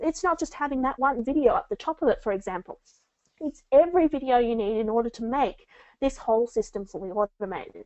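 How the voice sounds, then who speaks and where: Her voice high and swinging very widely in pitch, a woman talks at a fairly quick pace. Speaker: book marketing coach. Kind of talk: webinar presentation. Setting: online webinar. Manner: fast.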